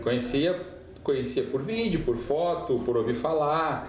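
Audible room echo and noticeable background noise surround a man with a fairly high pitch. He talks at a fairly slow pace with lively intonation. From Rio Grande do Sul, southern Brazil. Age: 40s. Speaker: missionary pastor. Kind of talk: podcast interview testimony.

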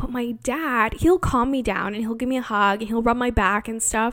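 A woman speaks in a plain, everyday voice, fairly high in pitch, at a moderate pace. Her pitch variation is ordinary, and the recording is very clean with a silent background. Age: 20s. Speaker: podcast host. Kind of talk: casual monologue. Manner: frequent laughter.

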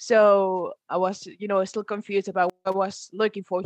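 Her pitch medium, a woman speaks fairly quickly. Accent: Spanish. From Spain, Galicia. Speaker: university student. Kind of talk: interview.

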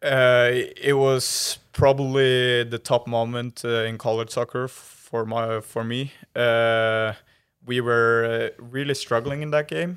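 A man with a Norwegian accent speaks very slowly with fairly even intonation, his loudness swinging widely. The recording is very clean, with a silent background. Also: medium pitch for a man. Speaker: former college soccer player, master's student. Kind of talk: interview. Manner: hesitant, many fillers.

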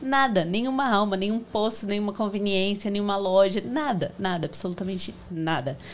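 A woman speaks in a normal speaking voice, her medium pitch showing ordinary pitch variation as she keeps a moderate pace. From Brazil, Santo André (São Paulo region). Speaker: supermarket owner. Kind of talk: casual interview.

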